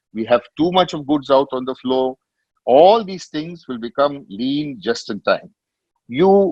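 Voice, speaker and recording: Man at a moderate pace, with a medium pitch and lively intonation. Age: 60s. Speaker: business leader, industry panelist. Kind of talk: web meeting talk. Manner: halting with fillers.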